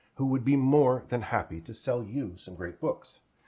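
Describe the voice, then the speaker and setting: A man's dark, mellow tone with vocal fry, on a very clean recording with a silent background. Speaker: festival artistic director. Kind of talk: event host introduction.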